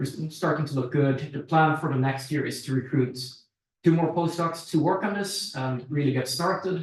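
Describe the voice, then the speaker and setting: The pace here is moderate, with ordinary pitch variation. It is an unremarkable speaking voice. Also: man, fairly high pitch for a man. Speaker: researcher presenting at workshop. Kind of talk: technical presentation; Q&A answer.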